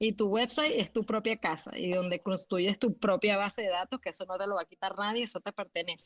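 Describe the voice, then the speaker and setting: An unremarkable speaking voice from a woman at medium pitch, fairly quick, with hardly any pauses, ordinary pitch variation and a dry, close sound with no echo. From Venezuela. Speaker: graphic designer and illustrator. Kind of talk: casual interview. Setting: live audio room online.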